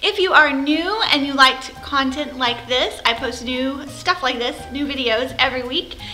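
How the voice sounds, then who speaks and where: A woman speaks in a raised, projected voice as faint music plays in the background. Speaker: product reviewer. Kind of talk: casual vlog chat. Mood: cheerful, festive. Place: home room. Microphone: phone near.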